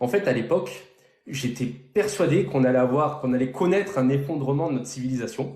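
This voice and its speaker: With audible room echo, a man talks at medium pitch and a moderate pace, his intonation lively. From southern France, near Toulon. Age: 30s. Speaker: real estate investor. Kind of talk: interview on a live stream. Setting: live stream.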